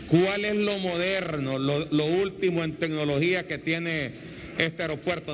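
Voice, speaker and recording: Fairly high-pitched with fairly even intonation, a man speaks in a plain, everyday voice over light background noise. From Honduras, Comayagua; Honduras. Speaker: TV news reporter; TV host presenter. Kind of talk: on-location interview. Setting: on location at an airport. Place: station. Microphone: handheld.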